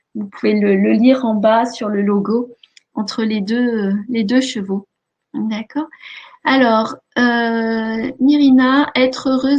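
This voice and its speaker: A woman speaks at a very slow pace with a fairly high, somewhat breathy voice. Her loudness swings widely, while her pitch variation is ordinary. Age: 50s. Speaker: life coach and hypnotherapist. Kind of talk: webinar presentation. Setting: online webinar. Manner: many hesitations (euh).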